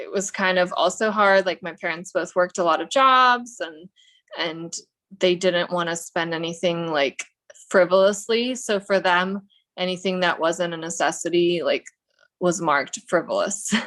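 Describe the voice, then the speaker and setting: A woman with an American accent talks at a moderate pace in an unremarkable speaking voice, medium in pitch with ordinary pitch variation. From Russia, moved to US as child. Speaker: realtor. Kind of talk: casual interview chat.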